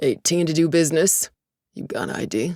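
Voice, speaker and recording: A raspy, gruff put-on character voice at a middle pitch and a moderate pace. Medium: read story. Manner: curt.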